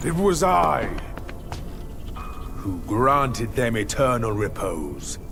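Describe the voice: A man speaks slowly in a put-on character voice with vocal fry and big pitch swings, clear music playing in the background. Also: medium pitch for a man.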